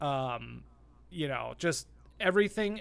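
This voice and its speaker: The recording is very clean with a silent background. The pitch swings very widely. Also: man. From adopted from Colombia, raised in US. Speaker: movie podcast host. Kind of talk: casual chat.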